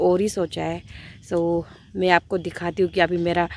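At a moderate pace, a woman speaks in a dry sound with no echo. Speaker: country life vlogger. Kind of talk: casual vlog chat. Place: garden. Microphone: phone near.

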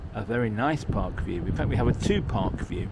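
A man is speaking. Loud background noise is present throughout. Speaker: travel vlogger. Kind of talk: casual vlog chat. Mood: cheerful, enthusiastic. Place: street. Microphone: phone near.

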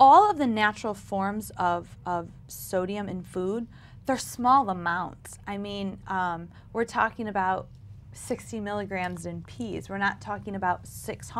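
A woman at a fairly slow pace, ordinary pitch variation, light background noise. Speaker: guest. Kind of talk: interview answer. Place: studio. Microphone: lapel.

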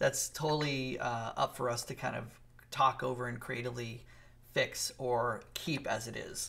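Reading in an unforced voice

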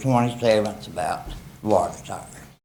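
There is audible room echo around a man with an American accent. He speaks at a fairly slow pace and medium pitch. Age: 70s. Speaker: member of the public speaking at council meeting. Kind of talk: public comment complaint. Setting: town council meeting. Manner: agitated.

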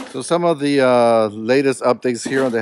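A man's voice with ordinary pitch variation, dry and echo-free, over light background noise. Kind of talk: casual vlog chat. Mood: proud, upbeat. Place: open country. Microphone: phone near.

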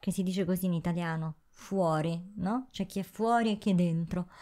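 A woman's voice against a quiet background. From southern Italy. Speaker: YouTuber. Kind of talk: casual chat. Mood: ironic, defiant. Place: home room. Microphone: handheld.

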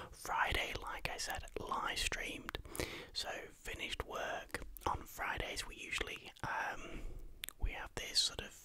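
Whispering and soft-spoken, a man talks at a fairly slow pace over light background noise. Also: dry sound with no echo. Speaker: vlogger. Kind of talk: casual vlog chat. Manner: soft close-mic whisper. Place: home room. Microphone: studio mic.

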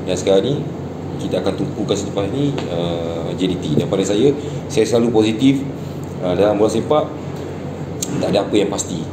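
With clear background noise behind him, a man speaks at a fairly quick pace in a low pitch with ordinary pitch variation.

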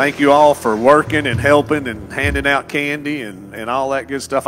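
Noticeable background noise sits behind a man talking at a fairly quick pace. His pitch varies in an ordinary way. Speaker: pastor. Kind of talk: church announcements. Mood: upbeat, welcoming. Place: church. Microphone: handheld.

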